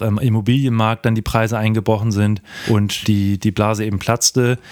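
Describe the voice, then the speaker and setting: Against noticeable background noise, a man with a fairly low pitch talks at a moderate pace. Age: 20s. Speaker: podcast co-host. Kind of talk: casual finance chat.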